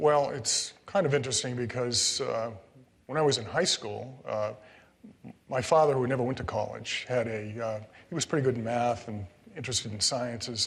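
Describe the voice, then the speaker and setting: In an American accent, the speaker talks at a moderate pace with ordinary pitch variation, and some room echo can be heard. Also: man, medium pitch for a man. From Connecticut. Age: 60s. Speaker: retired state supreme court judge. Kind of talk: public interview. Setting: stage with live audience. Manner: hesitant, many fillers.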